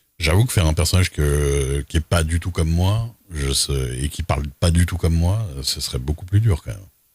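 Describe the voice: A man speaks with an extremely low pitch and lively intonation. His voice has a slightly husky edge and a slightly mellow tone. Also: moderate pace.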